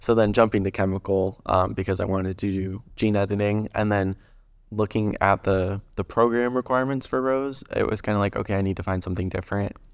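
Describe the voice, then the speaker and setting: A man with a plain, everyday voice, fairly low in pitch, fairly even in intonation and fairly quick in pace, against a quiet background. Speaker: engineering intern. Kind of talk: casual chat.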